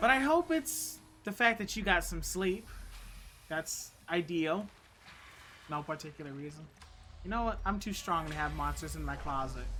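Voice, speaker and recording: Quiet speech at a moderate pace with long, frequent pauses. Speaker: video game streamer. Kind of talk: live gameplay commentary.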